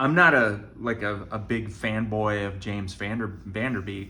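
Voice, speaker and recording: A man speaks with fairly even intonation. There is audible echo in the room. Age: 60s. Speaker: vlogger with stage 4 colon cancer. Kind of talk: casual vlog monologue. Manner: halting.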